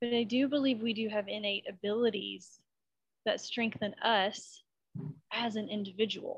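A woman speaks at a moderate pace with fairly high pitch. Her voice is somewhat breathy. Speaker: life coach. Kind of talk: interview conversation. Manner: enthusiastic, animated.

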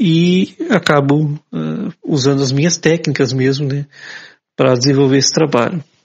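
Somewhat breathy, a man speaks at a fairly high pitch with ordinary pitch variation. He keeps a moderate pace, broken by long, frequent pauses. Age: 40s. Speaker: journalist and photographer with low vision. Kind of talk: interview. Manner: halting, many fillers.

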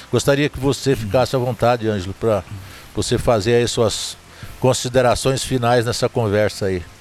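Speaking in an ordinary speaking voice, a man with a medium pitch keeps a moderate pace and fairly even intonation. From Zona da Mata, Minas Gerais, Brazil. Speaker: podcast host, sertanejo music storyteller. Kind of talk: casual interview chat. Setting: recorded at a countryside venue.

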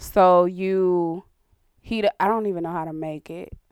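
At a fairly slow pace, a woman with a normal speaking voice and medium pitch talks with ordinary pitch variation. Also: big swings in loudness. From US, Caribbean immigrant family (Barbados, Jamaica). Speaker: podcast co-host. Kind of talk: casual chat.

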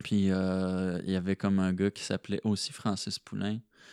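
A man with a very deep, low pitch speaks in a monotone, flat intonation. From Quebec, rural Chaudière-Appalaches near Thetford Mines. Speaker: slam poet. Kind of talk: casual interview. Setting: host's living room. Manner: halting, many repetitions.

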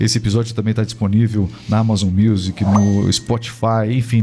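Fairly quick speech over music playing in the background. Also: man. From Brazil. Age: 40s. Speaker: podcast host. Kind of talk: interview. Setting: studio.

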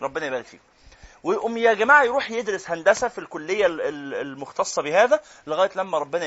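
An animated man with an Egyptian accent talks at a fairly quick pace with a high pitch. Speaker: Quran teacher. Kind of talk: lecture.

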